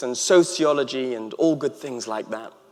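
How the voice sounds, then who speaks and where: An Englishman speaks at a moderate pace. His pitch varies in an ordinary way. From England. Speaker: author and happiness expert. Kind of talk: commencement speech. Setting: stage with audience.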